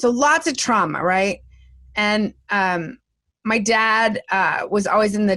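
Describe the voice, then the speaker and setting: In a very clean recording with a silent background, an ordinary speaking voice moves at a fairly slow pace with ordinary pitch variation. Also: woman. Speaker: comedian, speaker and vocal coach. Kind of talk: interview answer. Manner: lively, talkative.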